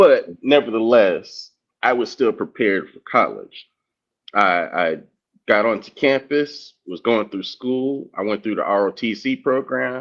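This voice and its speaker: At a fairly slow pace, a man with an ordinary speaking voice talks at medium pitch with ordinary pitch variation and big swings in loudness. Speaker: discussion panelist. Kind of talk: casual discussion.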